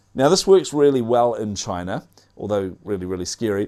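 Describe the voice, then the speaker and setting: In a New Zealand accent, a man with a medium pitch talks at a fairly quick pace with lively intonation. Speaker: tech news show host. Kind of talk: news roundup commentary. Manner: casual, many filler words.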